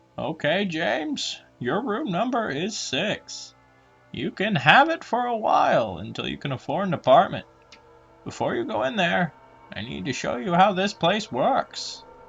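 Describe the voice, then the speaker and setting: A man's put-on character voice, high in pitch, at a moderate pace over faint music in the background. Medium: read story. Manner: monotone, dreary, calm.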